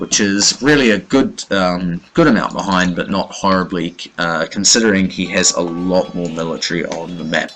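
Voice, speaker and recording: A man talks in a very deep, low voice. Music can be heard behind him. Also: ordinary pitch variation, moderate pace, hardly any pauses. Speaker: game commentator. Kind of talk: live commentary. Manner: hesitant, many fillers.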